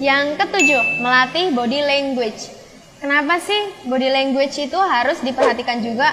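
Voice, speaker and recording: A raised, projected, shrill voice with ordinary pitch variation and music in the background. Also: woman. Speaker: school channel host. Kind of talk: tutorial. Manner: casual, filler-heavy; loud at times.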